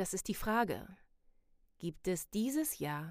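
Very wide pitch swings in a woman's very slow-paced talk. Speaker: podcast host / life coach. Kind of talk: motivational monologue. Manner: casual, many filler sounds.

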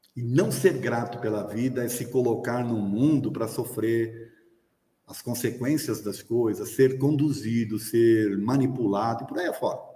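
A man with a medium pitch and ordinary pitch variation speaks at a fairly slow pace, his loudness swinging widely amid audible room echo. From Brazil. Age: 60s. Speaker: spiritist lecturer. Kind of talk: lecture. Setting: hall with live audience, also streamed.

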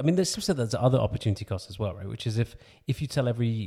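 On a very clean recording with a silent background, a man talks in a dark, mellow tone that is somewhat breathy. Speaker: podcast host interviewer. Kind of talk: interview questioning.

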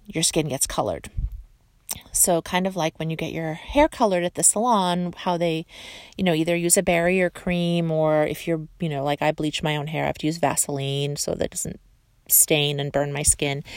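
A woman's fairly low-pitched voice, an ordinary speaking voice with fairly even intonation, on a very clean recording with a silent background. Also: moderate pace. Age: 40s. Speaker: beauty podcaster. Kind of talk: casual monologue. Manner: chatty.

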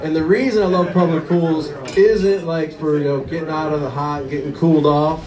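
Noticeable background noise sits behind a man who speaks at a fairly high pitch and moderate pace with fairly even intonation. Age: 40s. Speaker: stand-up comedian. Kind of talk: stand-up. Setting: stage with audience.

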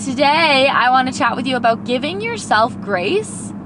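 Audible room echo and noticeable background noise surround this woman as she talks. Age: 20s. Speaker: podcast host and kindergarten teacher. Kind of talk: casual pep talk monologue. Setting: in a car. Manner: animated.

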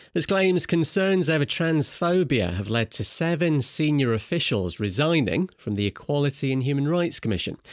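This man has a Scottish accent and a fairly high voice with very wide pitch swings. He speaks at a moderate pace, with very even loudness and hardly any pauses. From Scotland. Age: 40s. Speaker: journalist and broadcaster. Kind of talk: news reading.

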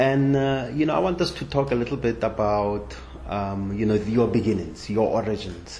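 A man speaks at a fairly slow pace with very wide pitch swings over noticeable background noise. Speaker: podcast host. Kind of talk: interview conversation.

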